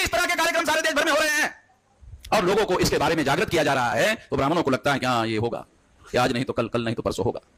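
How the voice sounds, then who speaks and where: A man talks over noticeable background noise. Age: 60s. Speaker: activist leader. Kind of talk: public speech.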